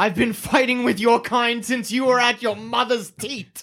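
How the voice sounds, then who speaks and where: A growling put-on character voice, fairly high in pitch, moves along at a moderate pace. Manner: growling, defiant.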